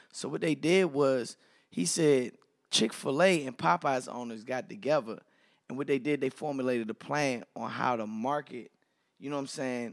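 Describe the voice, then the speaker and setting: An ordinary speaking voice: a man with an American accent, medium pitch, ordinary pitch variation and a moderate pace, in a very clean recording with a silent background. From Washington DC. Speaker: radio and TV personality. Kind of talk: casual chat.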